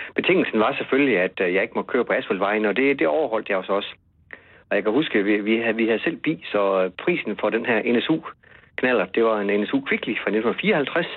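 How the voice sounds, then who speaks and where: With lively intonation and very even loudness, a man speaks at a medium pitch and a moderate pace. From West Jutland. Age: 50s. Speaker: journalist and author. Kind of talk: interview. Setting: phone call. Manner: halting, repeats words.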